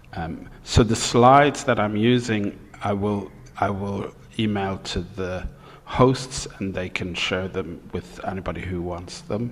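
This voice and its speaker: Audible room echo accompanies a man talking at a fairly slow pace, his fairly low pitch showing ordinary variation. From Ireland. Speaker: professor. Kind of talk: lecture.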